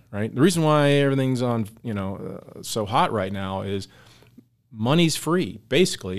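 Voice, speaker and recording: Lively in intonation, a man with an unremarkable speaking voice talks at a moderate pace in a medium pitch. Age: 50s. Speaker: financial adviser. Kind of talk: radio interview.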